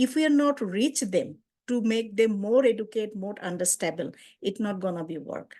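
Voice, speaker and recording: A woman with a Bengali accent speaks at a moderate pace in a fairly high pitch, her tone dark and mellow and her intonation lively, against a quiet background. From Bangladesh. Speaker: community outreach worker and translator. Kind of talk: webinar presentation.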